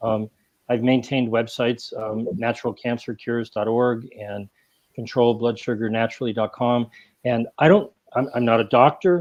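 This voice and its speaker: A plain, everyday voice from a man with an American accent, medium in pitch, fairly even in intonation and moderate in pace. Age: 60s. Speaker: health writer and activist. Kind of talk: panel discussion.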